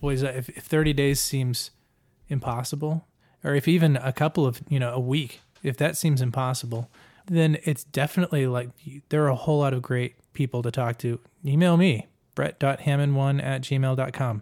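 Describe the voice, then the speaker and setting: Recorded very cleanly over a silent background, the sound is dry and close with no echo. A man with an ordinary speaking voice and a fairly high pitch talks at a moderate pace with fairly even intonation. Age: 30s. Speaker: podcast host and producer. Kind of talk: casual chat.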